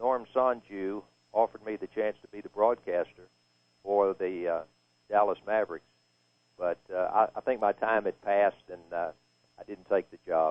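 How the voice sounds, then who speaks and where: A man with a Texan accent speaks at a moderate pace and a fairly low pitch, with fairly even intonation, big swings in loudness, and long, frequent pauses. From East Texas. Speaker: retired sportscaster. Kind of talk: live halftime radio interview.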